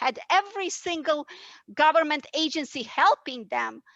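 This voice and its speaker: Her high-pitched voice is raised and projected, with a bright, sharp tone and a fairly slow pace. The woman's sound is dry and close with no echo against a quiet background. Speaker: panelist. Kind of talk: heated debate. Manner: animated.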